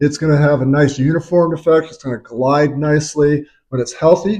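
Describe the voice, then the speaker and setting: A man speaks at a moderate pace with fairly even intonation. His voice is somewhat breathy. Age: 60s. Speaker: chiropractor. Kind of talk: tutorial.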